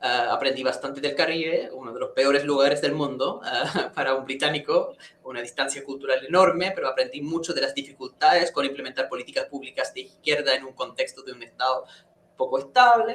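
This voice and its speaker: Loudness rising and falling sharply, a man delivers his words fairly quickly. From England. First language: English (speaking Spanish). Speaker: professor of public policy. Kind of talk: interview conversation. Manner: halting, many repetitions.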